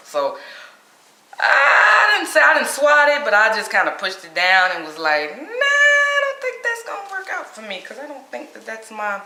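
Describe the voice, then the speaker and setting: The room's echo comes through audibly. At a moderate speed, a woman is talking. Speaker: motivational speaker and life coach. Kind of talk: personal story vlog. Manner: casual, conversational.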